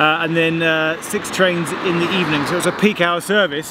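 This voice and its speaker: Against noticeable background noise, a man speaks at a moderate pace with a dry sound and no echo. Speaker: travel vlogger. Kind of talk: casual vlog commentary. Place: street. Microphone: phone near.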